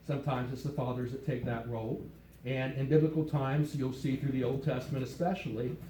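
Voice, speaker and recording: Against noticeable background noise, a man with fairly high pitch talks with fairly even intonation. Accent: American. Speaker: pastor. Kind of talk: live church sermon. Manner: conversational, teaching.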